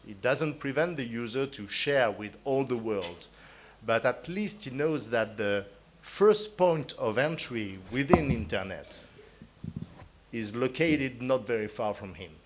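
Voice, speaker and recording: With a French accent, a man speaks at a fairly slow pace and medium pitch, his pitch swinging very widely and his loudness shifting greatly, with noticeable background noise. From France. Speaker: conference panelist, internet registry official. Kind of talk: conference talk. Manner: hesitant, many fillers.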